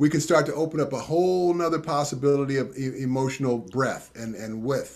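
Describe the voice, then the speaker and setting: A man with a fairly high voice and ordinary pitch variation talks at a fairly quick pace. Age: 60s. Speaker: tantra and intimacy teacher. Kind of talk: interview.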